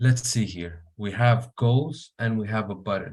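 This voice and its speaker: This man talks at a fairly slow pace in a medium pitch, his voice somewhat breathy, with an Arabic accent. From Syria. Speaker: software engineer. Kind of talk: live coding tutorial. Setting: online meeting. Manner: hesitant, many fillers.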